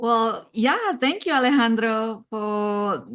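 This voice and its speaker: A woman with a non-native accent speaks at a fairly high pitch with ordinary pitch variation. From outside the US, non-English-speaking country. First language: not English. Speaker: cybersecurity executive and advisor. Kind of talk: interview.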